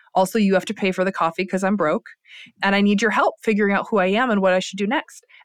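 A woman with an American accent at a very fast pace, in a dry, close sound with no echo. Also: medium pitch for a woman, fairly even intonation. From US Midwest, Lansing, Michigan. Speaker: entrepreneur and business professor. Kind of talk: casual interview chat.

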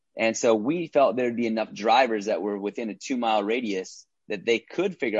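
Here is a man with a plain, everyday voice and an American accent. He talks at a fairly quick pace with a medium pitch. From Minnesota. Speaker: entrepreneur and actor. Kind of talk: casual interview.

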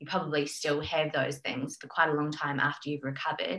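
A woman with an Australian accent speaks at a very fast pace. Her very deep, low voice stays monotone and flat. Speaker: health coach. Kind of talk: casual interview chat. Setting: remote call.

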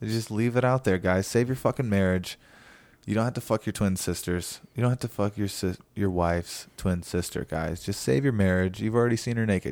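With a silent background, the recording is very clean. An ordinary speaking voice goes fairly quickly with ordinary pitch variation. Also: man, fairly low pitch for a man. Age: 30s. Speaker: comedian, podcast host. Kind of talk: casual chat.

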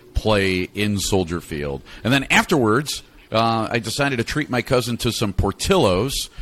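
With an American accent, a man speaks at medium pitch and a moderate pace, his intonation lively. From Chicago. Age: 40s. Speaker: podcast host, former radio host. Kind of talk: casual chat.

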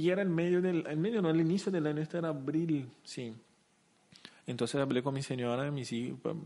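This man has a Portuguese accent. His tone is dark and mellow. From Brazil, Curitiba. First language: Portuguese (speaking Spanish). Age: 30s. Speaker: company CEO. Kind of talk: interview. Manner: halting.

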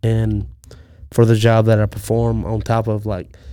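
This man speaks with a Mississippi accent in a dark, mellow tone at a fairly low pitch. The recording is very clean, with a silent background. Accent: Mississippi Southern. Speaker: podcaster. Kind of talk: casual chat.

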